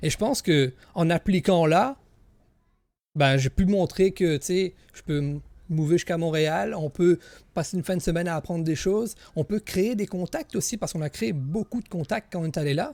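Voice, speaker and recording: In a Quebec accent, a man with a high pitch and ordinary pitch variation speaks at a moderate pace, the sound dry and close with no echo on a very clean recording with a silent background. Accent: Québécois French. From Quebec, Gaspésie region. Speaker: content creator, streamer. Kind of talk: interview. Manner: hesitant, many fillers.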